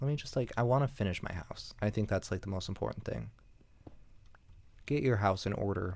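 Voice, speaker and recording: A man speaks quietly at a moderate pace and a fairly low pitch, leaving long, frequent pauses. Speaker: gaming commentator. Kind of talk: casual gameplay commentary. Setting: at home, apartment. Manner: quiet, holding back volume; hesitant, filler-heavy.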